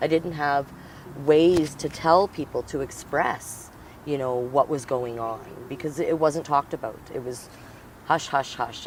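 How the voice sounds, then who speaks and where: Over noticeable background noise, a man speaks with a Canadian accent in a fairly high voice, with fairly even intonation at a moderate pace. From northern Alberta, Canada. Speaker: activist and educator. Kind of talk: interview. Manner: halting.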